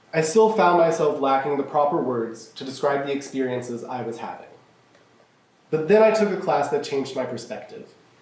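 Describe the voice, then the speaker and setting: Over noticeable background noise, a man with a fairly high pitch speaks at a fairly quick pace, his intonation lively and his loudness swinging widely. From Kentucky, Louisville. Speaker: college student. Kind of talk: speech contest address. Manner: formal.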